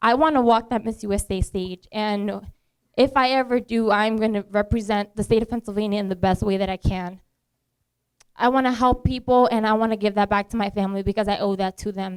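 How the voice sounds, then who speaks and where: A woman with a Spanish accent at a fairly high pitch and fairly quick pace, with fairly even intonation and a dry, close sound with no echo. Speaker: beauty pageant contestant. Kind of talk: speech to an audience. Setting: bar and lounge event. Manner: casual, with fillers.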